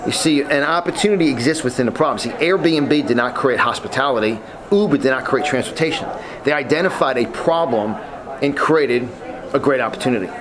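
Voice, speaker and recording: Amid noticeable background noise and audible room echo, a man with a New York accent speaks in an animated tone with lively intonation. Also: fairly high pitch for a man, fairly quick pace. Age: 50s. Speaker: motivational speaker. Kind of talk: interview.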